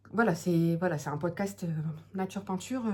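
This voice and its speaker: Somewhat breathy, a woman with a fairly low pitch and a dark, mellow tone speaks with ordinary pitch variation. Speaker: knitting podcaster, mother. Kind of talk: casual monologue podcast. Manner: hesitant, many fillers.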